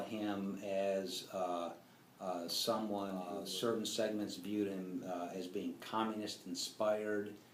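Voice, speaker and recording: A man is speaking in a room with audible echo. Noticeable background noise runs throughout. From grew up on US military bases. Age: 60s. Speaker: interviewee recalling civil rights era. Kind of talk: interview. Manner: halting, many fillers.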